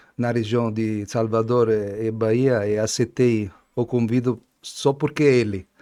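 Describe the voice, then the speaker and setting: Against a quiet background, a man with an Italian accent speaks fairly slowly in a flat monotone, his pitch medium and his tone dark and mellow. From Italy. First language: Italian (speaking Portuguese). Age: 60s. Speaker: wine importer, Italian wine expert. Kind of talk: casual interview. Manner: halting.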